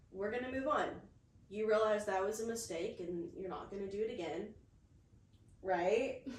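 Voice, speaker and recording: A woman's medium-pitched voice at a moderate pace, with ordinary pitch variation, long, frequent pauses and audible room echo. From USA. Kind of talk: casual chat.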